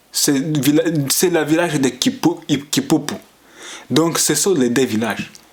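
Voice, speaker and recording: A man talks at a very slow pace. Noticeable background noise is audible behind him. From Tanzania refugee camps, Banyamulenge (Congolese) community. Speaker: community activist vlogger. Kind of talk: political monologue. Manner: halting, with hesitations.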